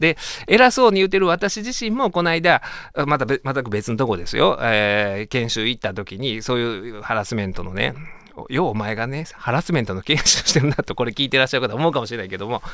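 A man with a Kansai accent talks at a fairly quick pace in a bright, sharp tone, his medium pitch swinging very widely. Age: 40s. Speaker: radio host and lawyer. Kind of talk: casual radio talk.

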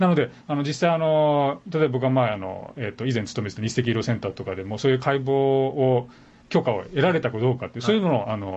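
The intonation is lively and the words come very fast. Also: man, medium pitch for a man. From Japan, Tokyo. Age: 50s. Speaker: physician and medical professor. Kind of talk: casual interview chat. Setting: radio studio.

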